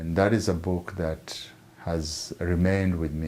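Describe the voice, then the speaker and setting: The pitch of this man's voice is very deep and low. He speaks at a fairly slow pace with fairly even intonation. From Kenya. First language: Maragoli (Luhya). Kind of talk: personal story. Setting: retreat center. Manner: halting, many repetitions.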